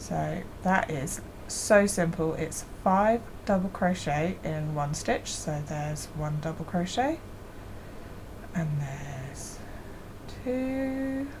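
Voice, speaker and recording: A woman speaks at a very slow pace, leaving long, frequent pauses. Her pitch swings very widely, and the room echo is audible. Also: fairly low pitch for a woman. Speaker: crochet hobby youtuber. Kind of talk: tutorial. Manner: casual.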